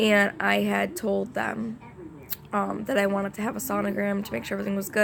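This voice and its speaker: Noticeable background noise surrounds a woman who speaks fairly quickly. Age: 20s. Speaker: vlogger, young mother. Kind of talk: casual chat to camera. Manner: hesitant, many fillers.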